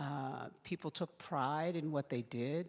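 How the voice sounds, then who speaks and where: A woman with an American accent speaks with lively intonation on a very clean recording with a silent background. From Philadelphia, US. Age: 60s. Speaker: invited speaker. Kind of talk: personal testimony talk.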